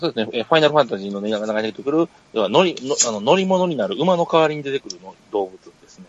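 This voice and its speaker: A man talks at a very fast pace and fairly high pitch, his voice making very wide pitch swings. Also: big swings in loudness. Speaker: podcast co-host. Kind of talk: casual chat.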